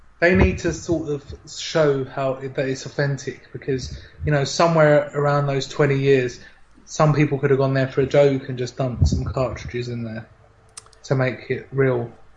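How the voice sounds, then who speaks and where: Intonation stays fairly even in this voice with a British accent. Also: man, fairly high pitch for a man, moderate pace. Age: 20s. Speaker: podcast host. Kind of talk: casual chat.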